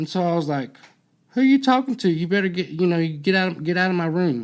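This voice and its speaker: With a slight Southern US accent, a man speaks at a high pitch. His pace is fairly quick. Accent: slight Southern redneck. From US South, Alabama. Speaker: podcast host, former prisoner. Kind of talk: casual chat. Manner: halting.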